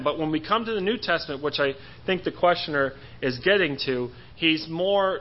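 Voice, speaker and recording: Pitched fairly high, this man's voice shows ordinary pitch variation. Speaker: church member answering a Bible question. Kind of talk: Bible study talk. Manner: halting; fast.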